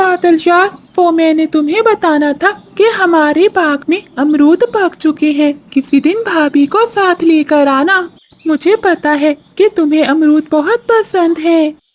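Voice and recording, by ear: The pace here is fairly slow. It is a cartoonish character voice pitched extremely high.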